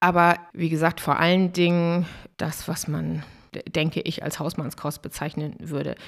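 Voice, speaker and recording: A normal speaking voice from a woman, fairly low in pitch, at a moderate pace, in a very clean recording with a silent background. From northern Germany, Dangast (Friesland). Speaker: restaurant owner from a family business. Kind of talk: interview.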